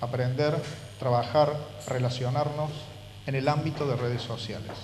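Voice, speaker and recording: A fairly high-pitched man with a Córdoba accent, fairly quick and fairly even, amid noticeable background noise and audible room echo. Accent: Argentine Córdoba. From Argentina, Córdoba. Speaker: university professor. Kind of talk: lecture.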